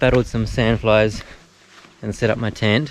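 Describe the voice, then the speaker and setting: A man with a New Zealand accent speaks in a fairly low voice with fairly even intonation, with noticeable background noise. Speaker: hiker vlogger. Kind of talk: travel vlog. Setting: outdoors. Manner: casual, with fillers.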